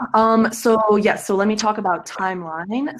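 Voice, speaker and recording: There is noticeable background noise. Through it, a woman talks fairly slowly. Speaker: project pitch presenter. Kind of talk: project pitch. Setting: video call.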